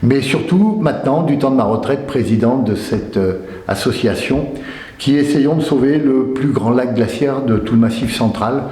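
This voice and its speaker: A man's medium-pitched voice at a fairly slow pace, with very even loudness, ordinary pitch variation, audible room echo and noticeable background noise. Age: 60s. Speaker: association president, retired fishing-tackle retailer. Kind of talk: interview testimony. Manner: hesitant, many fillers and repetitions.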